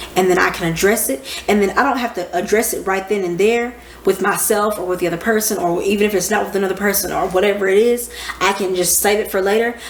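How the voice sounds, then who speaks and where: Very fast, animated speech from a woman at medium pitch, with noticeable background noise and audible room echo. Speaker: astrology teacher. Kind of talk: casual lecture. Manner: loud. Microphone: microphone far away.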